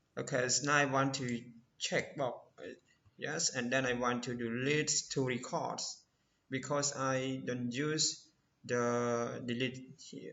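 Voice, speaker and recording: Speaking at a very slow pace, a man with a non-native accent talks at a medium pitch. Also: long, frequent pauses. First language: not English. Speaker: programming tutorial creator. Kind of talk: tutorial. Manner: halting.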